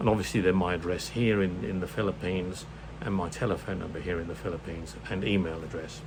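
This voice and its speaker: A man with a British accent talks at a very fast pace in a very deep, low voice with ordinary pitch variation, over noticeable background noise and audible room echo. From UK. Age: 70s. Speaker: retired vlogger. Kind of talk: casual vlog monologue. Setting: home room. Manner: halting, many fillers.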